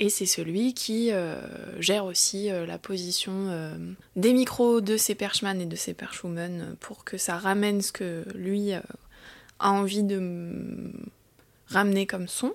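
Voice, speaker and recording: Delivered at a very slow pace with fairly even intonation, the speech sits on a very clean recording with a silent background. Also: woman, medium pitch for a woman. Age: 30s. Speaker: film boom operator. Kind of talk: casual chat.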